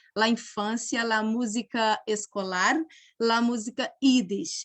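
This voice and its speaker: This woman has a Portuguese accent and a fairly high pitch, speaking at a very slow pace with fairly even intonation. The sound is dry and close with no echo, over a quiet background. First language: Portuguese (speaking Spanish). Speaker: musician and doctoral researcher. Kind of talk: academic talk.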